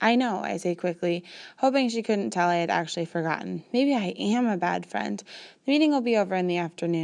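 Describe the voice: The voice is plain reading aloud, with lively intonation.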